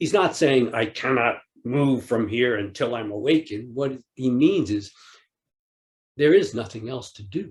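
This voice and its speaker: The voice is somewhat breathy and fairly slow, with big swings in loudness. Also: man, medium pitch for a man, ordinary pitch variation. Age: 60s. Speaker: Zen teacher. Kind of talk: dharma talk. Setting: online retreat.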